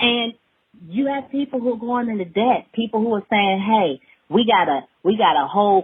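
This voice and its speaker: In an American accent, a woman speaks at a moderate pace and a medium pitch. Her tone is animated. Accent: Alabama dialect, comes out at times. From Alabama, US South. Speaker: hemp farmer and business owner. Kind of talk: casual podcast interview. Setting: studio.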